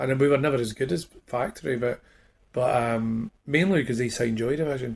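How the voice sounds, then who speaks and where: Speaking very fast in a Glaswegian accent, a man uses a medium pitch with ordinary pitch variation. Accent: Glaswegian Scottish. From Scotland, Glasgow. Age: 50s. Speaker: musician. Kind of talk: casual interview chat. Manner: halting, many repetitions and fillers.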